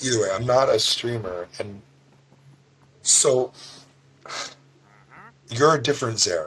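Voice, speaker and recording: A man's raspy, put-on character voice at medium pitch, moderate pace, with long, frequent pauses. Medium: actual play. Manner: hesitant, confused.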